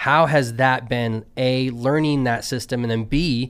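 A man speaks with a normal speaking voice at medium pitch and fairly even intonation. The recording is very clean with a silent background. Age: 40s. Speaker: college football show host. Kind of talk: casual chat.

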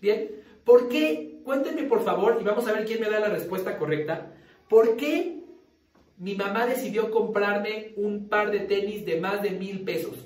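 Speech comes at a fairly slow pace with ordinary pitch variation. Room echo is audible and background noise is noticeable. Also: man. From Mexico City. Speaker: sales trainer. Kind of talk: training seminar.

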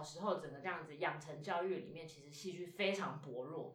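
Her voice sits fairly low for a woman, with ordinary pitch variation and audible room echo around it. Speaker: stage actor. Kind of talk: interview. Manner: casual, hesitant with fillers.

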